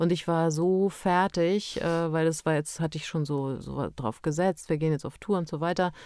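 Dark, mellow tone with ordinary pitch variation on a very clean recording with a silent background. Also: woman. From Transylvania, Romania; moved to Bavaria at eleven. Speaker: funeral director, former actress and musician. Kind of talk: casual chat.

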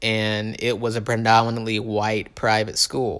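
A man's medium-pitched voice comes through on a very clean recording with a silent background. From US South, Tupelo, Mississippi. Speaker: podcaster. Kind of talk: personal monologue. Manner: rambling, many fillers.

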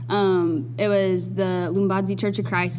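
A woman with an Alabama accent talks over noticeable background noise. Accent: Southern US (Alabama). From US South, Dothan, Alabama. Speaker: nursing student. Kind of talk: casual chat. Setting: studio.

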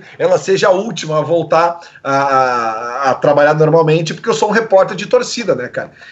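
Noticeable background noise surrounds a man speaking at a high pitch. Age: 40s. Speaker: radio presenter. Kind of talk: casual chat.

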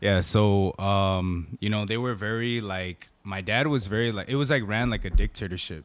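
In an American accent, this unremarkable speaking voice moves at a moderate pace with ordinary pitch variation. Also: man, fairly low pitch for a man. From US West Coast (Southern California). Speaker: prison minister and former gang member. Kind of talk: casual chat.

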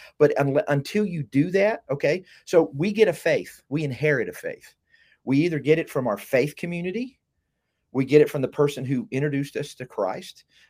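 A man with an Alabama accent speaks at a moderate pace in a fairly high pitch. The recording is very clean, with a silent background. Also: lively intonation. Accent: southern US (Alabama). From US South (south Alabama). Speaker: university professor. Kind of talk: casual conversation.

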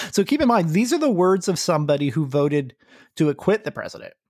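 Fairly quick speech in a very clean recording with a silent background. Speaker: podcast host. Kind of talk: casual chat.

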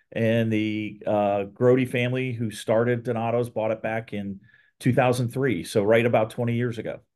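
A man with an American accent, medium-pitched and flat in a monotone, at a moderate pace over a quiet background. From Ohio, Columbus. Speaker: restaurant chain executive. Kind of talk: interview.

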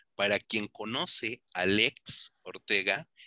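The man's tone is bright and sharp, and the sound is dry and close with no echo. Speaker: film magazine videoblog host. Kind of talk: interview. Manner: animated.

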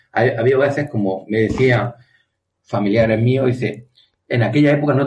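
This man sounds somewhat breathy and keeps a moderate pace. His pitch varies in an ordinary way. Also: very even loudness. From Spain, Andalusia (Almería province). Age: 40s. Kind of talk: interview.

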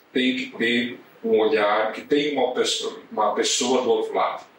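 There is audible room echo around this man's voice. Noticeable background noise can also be heard. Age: 50s. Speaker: corporate lawyer. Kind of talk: casual chat.

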